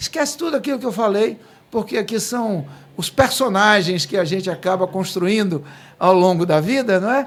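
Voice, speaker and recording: A man talks at a moderate pace. His pitch is high. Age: 50s. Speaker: podcast host. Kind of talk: casual interview.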